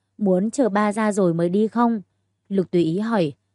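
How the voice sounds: This is a natural reading voice with ordinary pitch variation against a quiet background.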